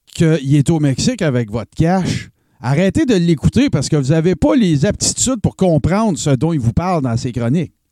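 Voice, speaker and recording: This man has a fairly high pitch and a dark, mellow tone. His pitch swings very widely in a dry, close sound with no echo. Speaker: columnist. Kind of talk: casual chat.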